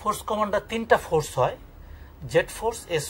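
Light background noise runs beneath a man's speech. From Khulna, Bangladesh; Bangladesh. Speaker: retired army major, war veteran; writer and researcher. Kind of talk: interview answer. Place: home room.

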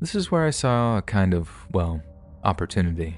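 Over music in the background, a man speaks in a dramatic tone. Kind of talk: scripted first-person horror narration of true-crime stories. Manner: tense, hushed, suspenseful storytelling with dramatic pauses; conversational and confessional, building dread.

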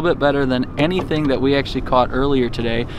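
A man talks at a fairly quick pace with fairly even intonation. The sound is dry with no echo, though there is noticeable background noise. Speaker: fishing vlogger. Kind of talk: casual vlog chat. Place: boat.

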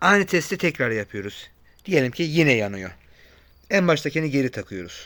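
Very wide pitch swings and vocal fry mark this man's voice, heard in a very clean recording with a silent background. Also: fairly high pitch for a man, moderate pace. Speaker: car repair YouTuber. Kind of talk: tutorial. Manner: casual, conversational.

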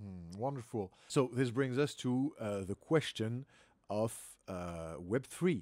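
Speaking at a very slow pace, a man uses lively intonation and big swings in loudness, with a dry sound with no echo and a quiet background. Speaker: podcast host. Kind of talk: interview. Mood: upbeat, friendly. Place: home room.

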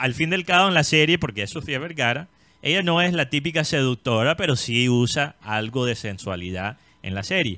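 A man speaks at a moderate pace and medium pitch, his tone bright and sharp with very wide pitch swings. The sound is dry with no echo against a quiet background. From Colombia. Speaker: entertainment show host. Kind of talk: casual chat. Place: studio. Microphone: studio mic.

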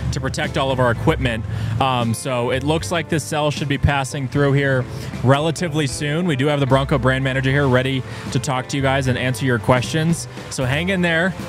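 Clear music plays in the background as a man speaks at a fairly quick pace with fairly even intonation, in a dry sound with no echo. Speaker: live stream host. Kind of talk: casual live stream update. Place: tent. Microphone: studio mic.

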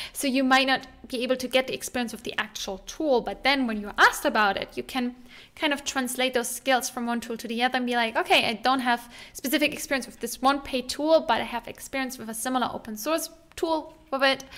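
A woman speaks very fast in a high voice, her tone bright and sharp, with ordinary pitch variation and big swings in loudness. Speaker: tech educator. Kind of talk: casual tutorial vlog talk. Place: home room. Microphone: studio mic.

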